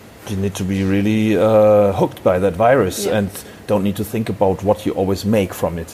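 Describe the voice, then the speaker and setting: A man's fairly low, dark and mellow voice with a German accent, monotone and flat in intonation, at a fairly quick pace. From Germany, Hamburg. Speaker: wine importer, former sommelier. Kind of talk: interview. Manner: halting.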